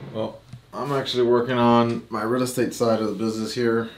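Room echo is audible as a man talks at a fairly quick pace. His medium pitch shows little movement.

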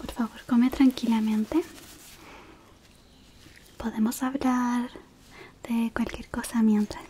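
Soft-spoken and gentle in tone, a woman talks at a very slow pace in a high pitch. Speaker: roleplay host. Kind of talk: soft roleplay chat to viewer. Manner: soft-spoken, gentle, close ASMR voice.

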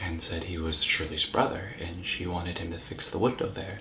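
Audible room echo and light background noise accompany a man whose very deep, low voice keeps a fairly even intonation. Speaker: actor. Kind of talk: acted monologue.

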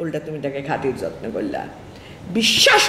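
Against light background noise and audible room echo, a woman speaks with very wide pitch swings. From Bangladesh. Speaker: counselor and motivational speaker; motivational speaker. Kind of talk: motivational talk. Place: office.

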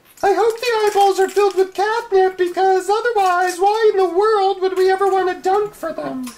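Pitched extremely high, a female-sounding put-on character voice moves at a moderate pace with hardly any pauses. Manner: sarcastic, dry.

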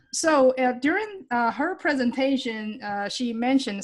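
The pace is moderate. The woman's pitch varies in an ordinary way. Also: quiet background. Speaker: extension specialist host. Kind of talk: webinar presentation intro. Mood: friendly, light laughter. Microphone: video call.

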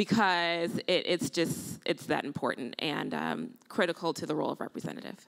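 With an American accent, the speaker uses a normal speaking voice at a moderate pace against a quiet background. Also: woman. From Illinois. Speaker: nurse and potential congressional candidate; candidate. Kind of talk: panel discussion. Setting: stage with audience. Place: stage. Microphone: handheld.

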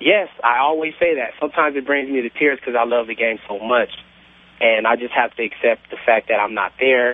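Speaking at a fairly quick pace, the man has an unremarkable speaking voice of medium pitch with ordinary pitch variation. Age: 20s. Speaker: caller. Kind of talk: phone-in call. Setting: phone call.

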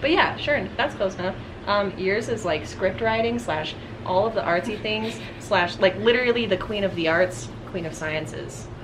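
A woman talks at a moderate pace over noticeable background noise. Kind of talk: casual vlog chat. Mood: cheerful, laughing. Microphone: camera far.

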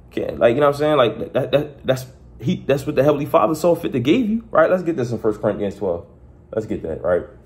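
A man talks at a very fast pace with a fairly high pitch, lively intonation, and vocal fry. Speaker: preacher. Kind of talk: sermon. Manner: conversational, repetitive; earnest, exhorting. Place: home room. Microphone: phone near.

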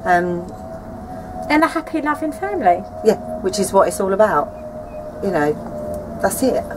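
A woman talks at a fairly slow pace. Noticeable background noise is present. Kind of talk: casual to-camera statement. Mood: earnest, light laughter. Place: garden.

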